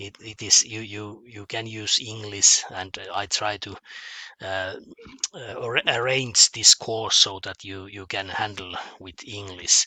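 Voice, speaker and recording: A man with a bright, sharp tone and fairly low pitch speaks very slowly with fairly even intonation and big swings in loudness, the sound dry and close with no echo. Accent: Finnish. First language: Finnish. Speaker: mathematics teacher. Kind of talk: online lesson. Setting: home office. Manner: halting, many fillers and repetitions.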